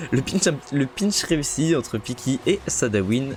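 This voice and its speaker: Over noticeable background noise, a man with a medium-pitched voice talks in an animated tone, his pitch swinging very widely. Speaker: esports caster and streamer. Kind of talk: live commentary. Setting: live stream.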